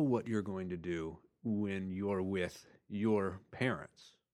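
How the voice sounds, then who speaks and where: In a very clean recording with a silent background, a man with an American accent talks at a very slow pace. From Texas, Houston. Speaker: podcast co-host, author. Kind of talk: casual chat. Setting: studio.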